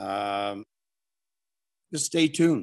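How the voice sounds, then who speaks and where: A man speaks with ordinary pitch variation. The recording is very clean with a silent background, dry and close with no echo. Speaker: wrestling promoter. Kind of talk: casual interview.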